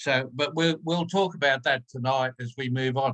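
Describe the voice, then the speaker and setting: A man speaks at medium pitch with an Australian accent. His tone is bright and sharp. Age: 70s. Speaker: stroke survivor. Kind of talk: personal testimony in webinar. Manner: hesitant.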